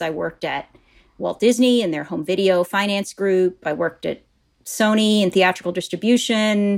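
This woman has a normal speaking voice and an American accent. She keeps a moderate pace with ordinary pitch variation. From US Midwest, Wisconsin. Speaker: corporate learning executive. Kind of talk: interview.

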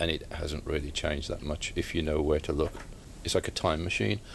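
A man with a very deep, low voice. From Staffordshire, England. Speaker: author and retired police officer. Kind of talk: interview. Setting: bookshop. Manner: halting.

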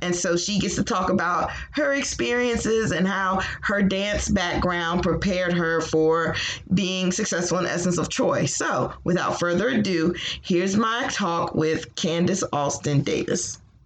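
Spoken at a fairly slow pace with an American accent, the voice shows ordinary pitch variation and very even loudness, with audible room echo and noticeable background noise. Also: woman, fairly low pitch for a woman. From Virginia, Hampton. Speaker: podcast host. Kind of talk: scripted narration; interview.

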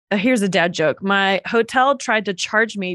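A woman's ordinary speaking voice at medium pitch with an American accent, at a moderate pace, in a dry, close sound with no echo and a quiet background. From North Carolina. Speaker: children's ministry leader and podcaster. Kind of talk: interview.

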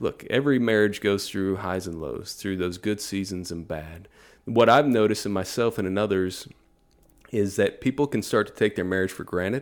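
A man speaks in a normal speaking voice with an American accent. His pitch sits fairly low, with ordinary variation and a moderate pace. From Texas. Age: 30s. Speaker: pastor. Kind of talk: casual chat.

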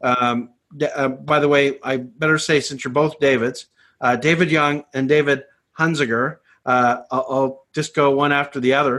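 A fairly high-pitched man in a plain, everyday voice at a fairly slow pace, over a quiet background. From Canada. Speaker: ministry network director. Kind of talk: webinar host discussion.

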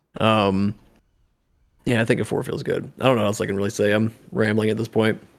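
With a fairly low pitch and fairly even intonation, a man talks at a fairly quick pace broken by long, frequent pauses. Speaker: podcast co-host. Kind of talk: casual chat.

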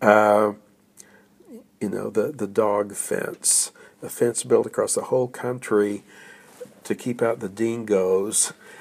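A man with an American accent, very slow and monotone, flat in intonation, with long, frequent pauses. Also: fairly low pitch for a man. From Oklahoma, US. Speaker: retired literature professor and author. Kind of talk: interview, personal reflection. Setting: visiting Australia.

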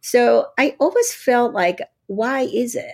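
On a very clean recording with a silent background, a woman speaks with a Japanese accent. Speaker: radiologist and professor. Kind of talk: interview.

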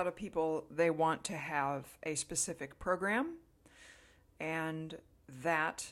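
A woman's normal speaking voice, fairly low in pitch, with ordinary pitch variation. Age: 50s. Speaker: wellness podcast host. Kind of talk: solo monologue. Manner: casual, relaxed with filler words.

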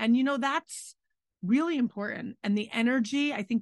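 Somewhat breathy and fairly quick, a woman speaks with ordinary pitch variation over a quiet background, the sound dry and close with no echo. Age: 40s. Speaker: restaurant owner and podcast co-host. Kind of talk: casual chat.

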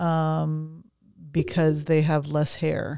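A woman speaks very slowly with a very deep, low pitch and a dark, mellow tone. The sound is dry and close with no echo, on a very clean recording with a silent background. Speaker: ordained minister and podcast co-host. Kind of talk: casual chat.

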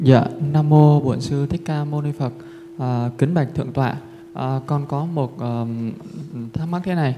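A man's fairly high voice at a moderate pace, with long, frequent pauses, fairly even intonation and noticeable background noise. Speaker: retreat participant asking a question. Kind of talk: formal question to teacher. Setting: temple retreat with audience. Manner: halting.

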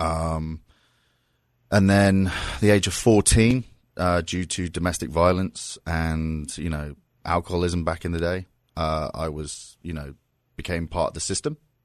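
With a southern English accent, a man talks in a very deep, low voice with fairly even intonation and long, frequent pauses against a quiet background. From southern England (Surrey, near London). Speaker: pro wrestling figure. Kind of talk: casual chat. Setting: studio.

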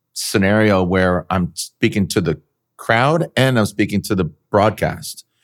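With a dry, close sound and no echo, a man talks fairly slowly in a fairly low voice. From San Diego, California. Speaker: motorsport announcer. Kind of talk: casual chat. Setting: video call. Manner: animated.

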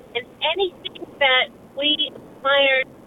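A woman with a high voice speaks over noticeable background noise. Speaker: caller. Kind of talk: call-in radio talk. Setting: phone call.

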